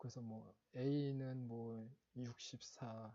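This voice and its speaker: A man's dark, mellow tone, somewhat breathy. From Seoul, South Korea. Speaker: exam prep instructor. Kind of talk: lecture. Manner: halting, many fillers and self-corrections.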